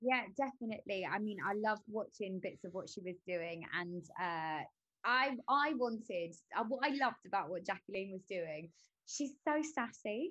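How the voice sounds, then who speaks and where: Lively intonation in a London accent at a moderate pace. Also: woman, medium pitch for a woman. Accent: London English, can do northern accents. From London, England. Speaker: actress. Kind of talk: casual interview chat.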